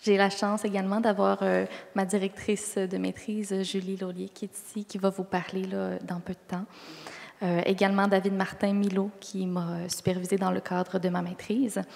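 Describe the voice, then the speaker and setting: A monotone, flat delivery over noticeable background noise. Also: woman, medium pitch for a woman. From Quebec. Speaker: medical resident, conference presenter. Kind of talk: conference presentation. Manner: deliberately slow.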